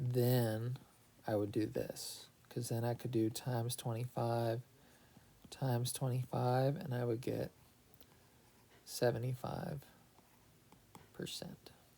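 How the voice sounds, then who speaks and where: With a dark, mellow tone and a somewhat breathy quality, a man speaks very slowly with fairly even intonation and long, frequent pauses. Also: medium pitch for a man. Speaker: math teacher. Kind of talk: tutorial.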